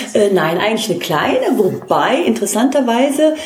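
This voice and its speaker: A woman at a moderate pace, with very wide pitch swings, audible room echo and noticeable background noise. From Trier, Germany. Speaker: art historian and author. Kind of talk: interview. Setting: living room at home. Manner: frequent hesitations.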